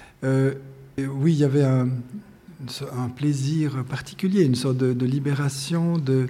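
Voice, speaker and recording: A dark, mellow tone at a fairly slow pace, with fairly even intonation, long, frequent pauses and audible room echo. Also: man, medium pitch for a man. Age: 60s. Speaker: painter and art teacher. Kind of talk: interview. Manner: halting.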